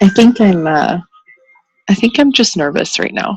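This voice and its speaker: Over music in the background, a woman with a medium pitch speaks at a fairly slow pace with lively intonation, the sound dry and close with no echo. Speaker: new coach, mother of four boys. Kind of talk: casual chat.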